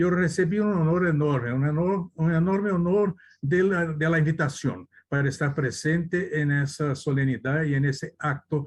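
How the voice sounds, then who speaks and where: This man talks at a moderate pace with a Brazilian accent, his fairly high voice somewhat breathy. His pitch varies in an ordinary way over a quiet background. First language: Portuguese (speaking Spanish). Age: 80s+. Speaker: lawyer. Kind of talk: conference talk. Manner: halting, with self-corrections.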